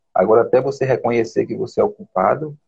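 Speaking somewhat breathily, a man keeps up a fairly quick pace. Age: 40s. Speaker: postal worker. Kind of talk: casual chat. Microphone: unstable connection.

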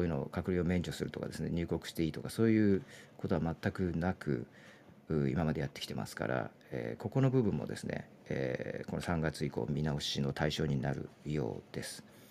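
A man speaks at a fairly quick clip in a very deep, low voice with vocal fry, lively intonation and big swings in loudness. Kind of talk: live audio news discussion. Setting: live audio chat room.

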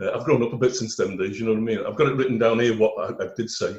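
A man is speaking. His voice is somewhat breathy. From Liverpool, England. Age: 60s. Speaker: former footballer. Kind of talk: interview.

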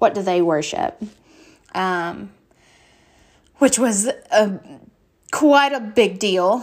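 A woman with a Kentucky accent at a very slow pace, medium pitch, ordinary pitch variation and long, frequent pauses. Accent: Southern US (Kentucky). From US South, western Kentucky. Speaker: podcast host. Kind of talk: casual monologue. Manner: hesitant, many fillers.

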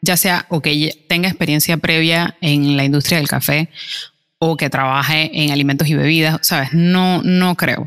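Music plays behind a woman with a fairly low pitch, her sound dry and close with no echo. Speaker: podcast co-host, barista. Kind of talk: casual chat. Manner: calm, subdued.

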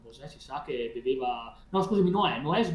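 A man talks at a fairly slow pace. Audible room echo surrounds the voice. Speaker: paranormal experiencer. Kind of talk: casual chat. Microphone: video freezing, unstable connection.

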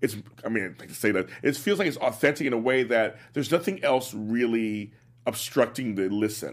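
A man speaks at a moderate pace in a medium pitch with an American accent. He has a plain, everyday voice. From South Los Angeles. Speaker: radio host. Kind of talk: casual radio interview.

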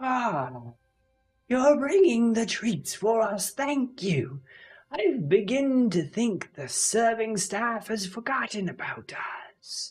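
A put-on character voice with a fairly high pitch at a very slow pace. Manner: polite, formal.

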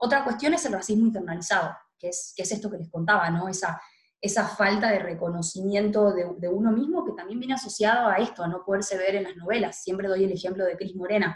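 A woman talks very fast in a somewhat breathy voice with ordinary pitch variation. Room echo can be heard. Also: medium pitch for a woman. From Argentina, Tucumán (northwest). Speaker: feminist activist and political scientist. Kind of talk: interview.

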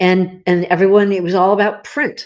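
The pace is moderate. The speaker is a woman in a Californian accent. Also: quiet background. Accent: General American (Californian). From US West Coast, Los Angeles. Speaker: cookbook author. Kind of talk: podcast interview.

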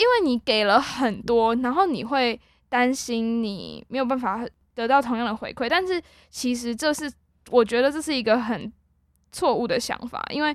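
A woman's high-pitched voice at a moderate pace, with ordinary pitch variation, in a very clean recording with a silent background. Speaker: university student podcast host. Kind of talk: casual chat.

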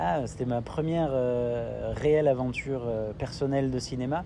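With ordinary pitch variation, the voice carries an audible room echo. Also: man. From Italy (French family). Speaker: entrepreneur in film and culture. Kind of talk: interview.

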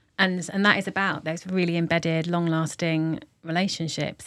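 In a very clean recording with a silent background, a woman with a London accent speaks at a moderate pace in a monotone, flat intonation. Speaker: arts director. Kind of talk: interview.

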